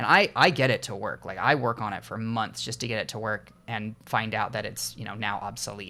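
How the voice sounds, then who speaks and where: Here a man speaks at a medium pitch in a bright, sharp tone, with big swings in loudness. His pace is fairly quick, and the recording is very clean with a silent background. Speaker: indie game developer. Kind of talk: casual vlog talk. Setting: home recording with headphones on. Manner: halting, many fillers.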